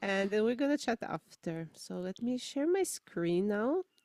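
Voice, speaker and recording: A woman's medium-pitched voice with lively intonation, in a Slovenian accent, dry and close with no echo. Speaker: musician. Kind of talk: casual chat.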